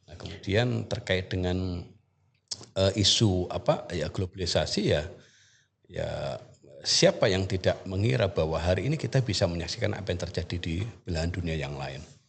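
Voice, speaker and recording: A man talks at a moderate pace with a very deep, low pitch and a somewhat breathy sound. His pitch variation is ordinary, while his loudness swings widely. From East Java, Indonesia (Banyuwangi). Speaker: university lecturer in Arabic. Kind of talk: podcast interview. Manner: halting, many fillers.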